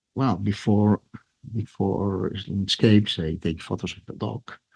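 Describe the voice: A man speaks at a fairly slow pace with a fairly low pitch, a slightly mellow tone, a slightly husky edge, vocal fry and ordinary pitch variation.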